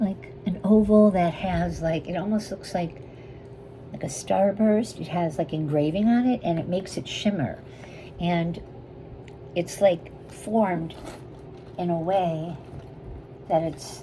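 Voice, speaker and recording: A woman speaks at a fairly slow pace with a fairly low pitch and ordinary pitch variation, leaving long, frequent pauses over noticeable background noise. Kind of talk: sales pitch. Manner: whispering, soft.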